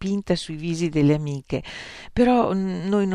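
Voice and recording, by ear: Reading aloud in a natural voice, ordinary pitch variation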